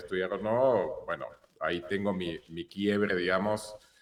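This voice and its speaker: A man's fairly low voice with a Hebrew accent, over noticeable background noise. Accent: Hebrew-marked R still noticeable. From Argentina, born in Israel. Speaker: filmmaker and photographer. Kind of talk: interview. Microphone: low return volume, quiet.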